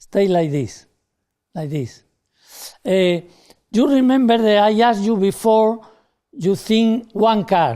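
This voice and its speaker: Speaking at a very slow pace with long, frequent pauses, a man uses a high pitch and a dark, mellow tone with ordinary pitch variation. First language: not English. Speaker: stage magician. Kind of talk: live magic show with audience participation.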